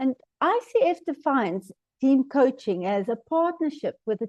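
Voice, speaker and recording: Dry and close with no echo, a woman's dark, mellow voice carries a South African accent and lively intonation against a quiet background. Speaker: team coaching trainer. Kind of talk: webinar presentation.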